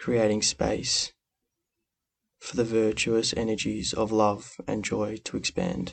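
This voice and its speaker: With a calm, soothing tone and fairly low pitch, a man speaks at a very slow pace. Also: ordinary pitch variation. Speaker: meditation guide. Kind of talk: guided meditation. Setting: podcast recording. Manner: slow, soft-spoken, calm and soothing with long pauses; gentle, instructive, warm.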